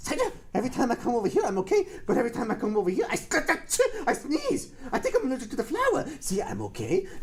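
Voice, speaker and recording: A cartoonish character voice rattles along at a very fast pace and fairly high pitch. Light background noise sits behind it. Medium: puppet. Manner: hesitant, slow.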